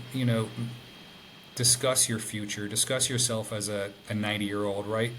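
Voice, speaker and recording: Heard with audible room echo, a man with a fairly low voice speaks at a moderate pace in a monotone, flat delivery. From Ireland (Dublin). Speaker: interview guest. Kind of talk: casual interview. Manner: halting, many fillers.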